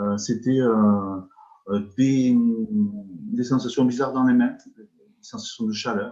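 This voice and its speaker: A man with a medium pitch and a dark, mellow tone speaks with lively intonation. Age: 60s. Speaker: energy healer, retired social worker. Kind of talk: interview. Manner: halting, many repetitions and hesitations.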